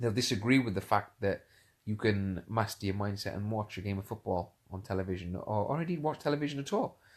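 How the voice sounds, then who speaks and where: The background is quiet as a man talks. His pitch varies in an ordinary way. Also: fairly low pitch for a man, fairly quick pace. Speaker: motivational speaker and coach. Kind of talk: casual live-stream talk. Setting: lying in bed, Facebook live stream. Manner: hesitant, many fillers and repetitions; whispering at first.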